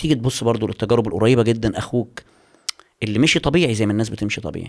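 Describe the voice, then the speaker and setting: The man's voice rests at a medium pitch. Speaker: YouTuber and writer. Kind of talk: casual chat. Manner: animated.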